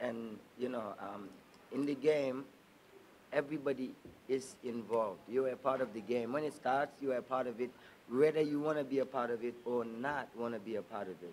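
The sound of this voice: A man talks at a moderate pace in a medium pitch, with ordinary pitch variation and a slightly mellow tone.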